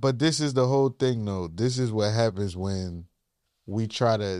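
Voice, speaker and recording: A man with an American accent has a fairly low pitch, ordinary pitch variation, and an unremarkable speaking voice. He speaks at a moderate pace in a very clean recording with a silent background. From Philadelphia, US. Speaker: podcast host. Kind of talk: casual chat.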